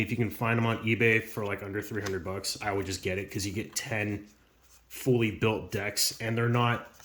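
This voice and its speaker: Medium-pitched male voice with fairly even intonation over noticeable background noise. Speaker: YouTuber opening trading card packs. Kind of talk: casual unboxing commentary. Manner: fast; casual with many fillers.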